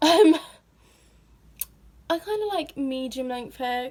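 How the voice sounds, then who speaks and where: A woman with a British accent speaks in a high voice. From Britain. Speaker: vlogger. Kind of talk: casual Q&A vlog. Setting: at home in her room.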